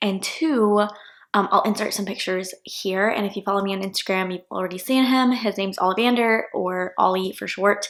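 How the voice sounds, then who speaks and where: Soft-spoken and fairly quick, a woman talks at a medium pitch with fairly even intonation and an American accent. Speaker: law student vlogger. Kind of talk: casual vlog chat. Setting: at home in apartment.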